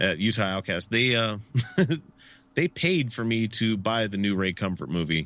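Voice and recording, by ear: Someone reading aloud in a natural voice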